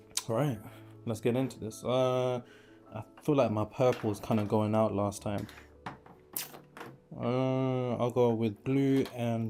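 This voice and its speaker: A man's medium-pitched, monotone delivery with an English accent, very slow and broken by long, frequent pauses, over background music. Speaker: spiritual teacher. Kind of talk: lecture; casual chat.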